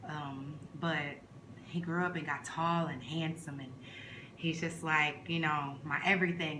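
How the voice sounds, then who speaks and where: A woman with an American accent speaks fairly slowly at a very deep, low pitch, in a monotone, flat intonation with long, frequent pauses. Noticeable background noise and audible room echo fill the recording. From New York (Brooklyn), Trinidad-born. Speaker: vlogger. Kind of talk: casual chat. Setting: eating on camera at home. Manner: relaxed, conversational.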